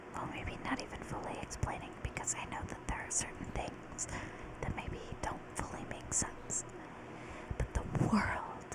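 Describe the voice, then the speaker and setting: Whispering at a fairly slow pace, a woman is heard through noticeable background noise. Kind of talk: casual talk to camera. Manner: whispered.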